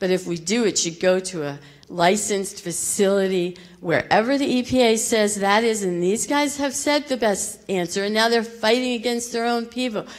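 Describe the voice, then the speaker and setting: Set against noticeable background noise and audible room echo, a woman with a fairly high pitch talks at a moderate pace with ordinary pitch variation. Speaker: local resident. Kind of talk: public comment. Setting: public meeting in school theater. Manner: emotional, shaky.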